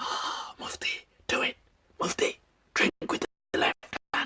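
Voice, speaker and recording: This is a put-on character voice with a raspy quality. It moves at a moderate pace. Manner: tempting, commanding.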